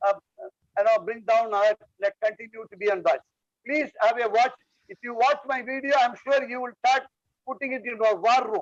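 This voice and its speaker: Speaking at a fairly quick pace with long, frequent pauses, a man uses an extremely high voice with ordinary pitch variation and big swings in loudness, in a dry, close sound with no echo. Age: 70s. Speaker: retired surgeon. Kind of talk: online meeting discussion.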